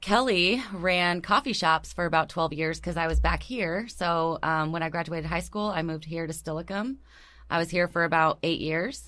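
On a very clean recording with a silent background, a woman speaks at a moderate pace with a fairly low pitch, ordinary pitch variation, vocal fry and a bright, sharp tone. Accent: American. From US Pacific Northwest, Tacoma. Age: 40s. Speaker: mortgage lender. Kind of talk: casual chat. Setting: studio.

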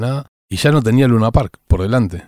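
Medium in pitch, a man speaks with a dark, mellow tone and ordinary pitch variation. The recording is very clean, with a silent background. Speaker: rock musician. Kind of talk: oral history interview.

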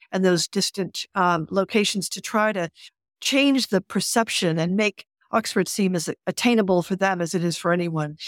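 A woman with a normal speaking voice talks at medium pitch and a moderate pace with ordinary pitch variation, the recording very clean with a silent background and the sound dry and close with no echo. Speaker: alumni relations director. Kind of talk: interview conversation.

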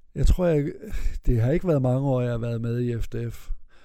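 A man speaks with a dark, mellow tone at a medium pitch. His pitch variation is ordinary, and audible room echo surrounds the voice. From Denmark, Vesthimmerland (North Jutland). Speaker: interviewee telling his life story. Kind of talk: life story interview. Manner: halting, many repetitions and fillers.

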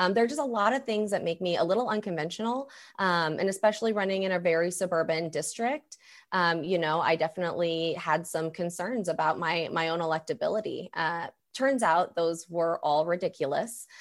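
A plain, everyday voice with an American accent moves at a fairly quick pace with ordinary pitch variation, in a very clean recording with a silent background. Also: woman, fairly low pitch for a woman. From Missouri, US. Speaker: state legislator. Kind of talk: interview answers about politics.

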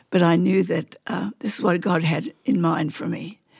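A woman speaks at a fairly low pitch. Vocal fry runs through her voice. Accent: Australian. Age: 80s+. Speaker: missionary nurse. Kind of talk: interview testimony. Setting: studio. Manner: loud.

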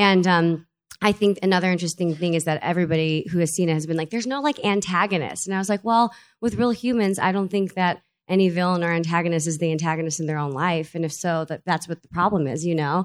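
A woman talks at a very fast pace with ordinary pitch variation, in a very clean recording with a silent background. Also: fairly low pitch for a woman. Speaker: stage actress. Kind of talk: live panel interview. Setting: live event with audience.

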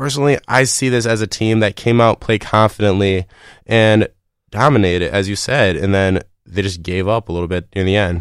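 In a very clean recording with a silent background and a dry, close sound with no echo, a man with an unremarkable speaking voice talks at a fairly low pitch and a moderate pace with ordinary pitch variation. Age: 20s. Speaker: college radio sports co-host. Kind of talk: sports talk show. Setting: studio.

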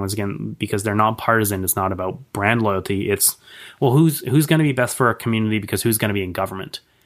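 In a very clean recording with a silent background, a man with a Canadian accent speaks at a medium pitch with ordinary pitch variation. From Canada, Victoria BC. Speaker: political campaign manager. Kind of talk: interview. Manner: halting, frequent repetitions.

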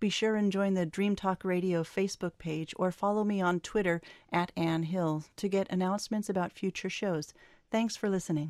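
A woman speaks at a moderate pace with medium pitch, fairly even intonation and very even loudness, in an unremarkable speaking voice. The recording is very clean, with a silent background. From Oakland, California, US. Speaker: podcast host. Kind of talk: interview. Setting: in person in New Orleans.

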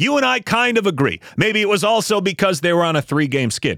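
Animated and fairly quick, a man's voice swings very widely in pitch, recorded dry and close with no echo. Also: very clean recording, silent background. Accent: American. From Buffalo, New York. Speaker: podcast host and radio broadcaster. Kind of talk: angry rant, sarcastic and scathing, dissecting a clip. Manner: animated, sarcastic, exasperated.

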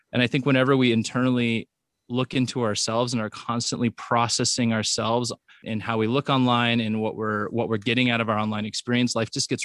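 A man's medium-pitched, monotone, flat voice at a fairly quick pace, dry and close with no echo. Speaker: author and educational expert. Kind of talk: interview.

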